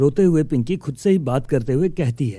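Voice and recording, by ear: This man's voice has a dark, mellow tone and lively intonation.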